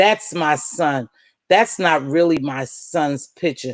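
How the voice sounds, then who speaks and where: A woman talks at a fairly slow pace with a very deep, low pitch and ordinary pitch variation. Her tone is animated, and the background is quiet. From US. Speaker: YouTube livestream host. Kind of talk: casual chat. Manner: preacher-like.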